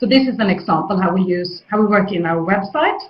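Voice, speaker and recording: A woman's medium-pitched voice with lively intonation and audible room echo. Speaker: head of a job program. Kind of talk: webinar presentation. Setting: online webinar. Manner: fast; hesitant, many fillers.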